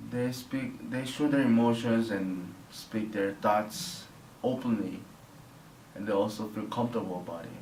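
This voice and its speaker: Amid noticeable background noise and audible room echo, a man with a Korean accent speaks at a fairly slow pace. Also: medium pitch for a man, ordinary pitch variation. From South Korea (near Seoul). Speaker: interviewee, Korean immigrant student. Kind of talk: interview. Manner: halting, non-native phrasing.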